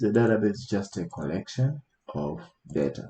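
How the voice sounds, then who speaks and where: With a dark, mellow tone and fairly low pitch, a man talks at a fairly quick pace and swings his pitch very widely. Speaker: IT instructor. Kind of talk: tutorial. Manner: halting, many fillers.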